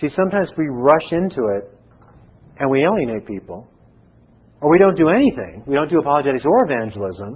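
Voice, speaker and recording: A man with a fairly high voice and vocal fry makes very wide pitch swings. He talks at a fairly quick pace with long, frequent pauses. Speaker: seminary professor. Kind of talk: lecture. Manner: pauses to find words.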